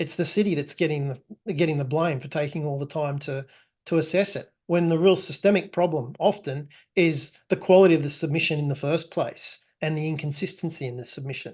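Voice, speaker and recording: A man with an Australian accent talks at a fairly quick pace, his fairly high pitch held in a fairly even intonation. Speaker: tech company founder presenting product. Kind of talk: webinar presentation. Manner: frequent fillers and restarts.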